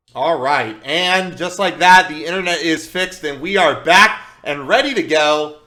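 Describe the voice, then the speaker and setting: There is noticeable background noise behind a man with a high pitch. He keeps a moderate pace and ordinary pitch variation. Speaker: esports shoutcaster. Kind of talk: live esports play-by-play commentary. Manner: occasional stuttering.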